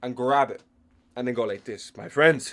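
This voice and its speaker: A man speaks with an Irish accent on a very clean recording with a silent background. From Ireland. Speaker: MMA commentator. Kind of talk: casual tier list commentary. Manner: animated.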